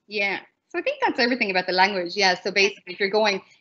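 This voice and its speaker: A woman speaks with an Irish accent. Her pitch sits at a medium level. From Ireland. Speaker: English teacher in China. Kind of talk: online panel talk. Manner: fast.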